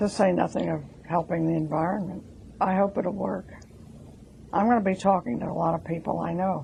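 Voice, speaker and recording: The voice is dark and mellow, with vocal fry and fairly even intonation. It moves at a fairly quick pace, broken by long, frequent pauses. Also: woman, fairly low pitch for a woman. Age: 80s+. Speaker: interviewee, elderly driver. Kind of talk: testimony.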